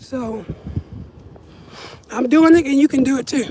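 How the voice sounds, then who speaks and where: A woman at a moderate pace, with lively intonation. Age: 30s. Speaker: vlogger. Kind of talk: casual chat. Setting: outdoors. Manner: casual, rambling pace.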